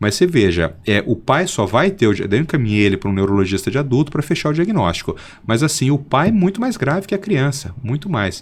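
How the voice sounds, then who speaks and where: The pace is fairly quick, with hardly any pauses. Pitch swings are very wide. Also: man, medium pitch for a man. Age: 50s. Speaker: pediatric neurologist. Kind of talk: interview.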